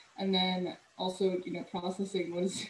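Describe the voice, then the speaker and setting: In an American accent, a woman talks at a fairly slow pace amid audible room echo and light background noise. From California (Cerritos, LA County); California. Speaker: urban planner; presenter. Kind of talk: presentation. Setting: video call. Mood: warm, reflective. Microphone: video call.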